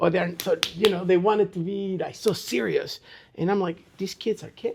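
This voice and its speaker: A man with a Spanish accent and a high pitch speaks at a moderate pace with fairly even intonation. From Chile. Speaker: martial arts instructor. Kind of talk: interview answer. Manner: casual, conversational.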